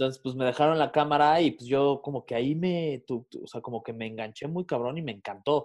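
A man with a plain, everyday voice speaks at a fairly quick pace and a fairly high pitch, with hardly any pauses. His pitch variation is ordinary, and the background is quiet. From Mexico City. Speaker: radio and podcast host. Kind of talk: casual chat.

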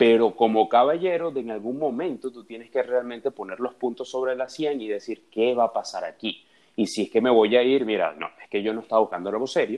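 Big swings in loudness, hardly any pauses, and ordinary pitch variation. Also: man, medium pitch for a man, fairly quick pace. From Venezuela, Caracas. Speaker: dating and relationships guest. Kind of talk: casual chat. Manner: halting, repeats words.

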